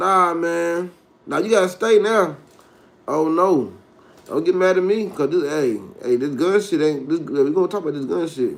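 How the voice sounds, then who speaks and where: Delivered at a moderate pace, the speech carries ordinary pitch variation. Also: man, high pitch for a man. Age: 30s. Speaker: livestreamer. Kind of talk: casual live stream rant. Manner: animated.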